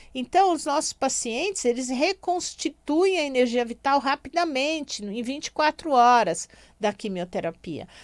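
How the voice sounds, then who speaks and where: A woman speaks at a fairly slow pace with a high pitch and very wide pitch swings. The recording is very clean and dry, close with no echo, over a silent background. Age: 60s. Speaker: radio host and physician. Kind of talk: radio talk. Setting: radio studio.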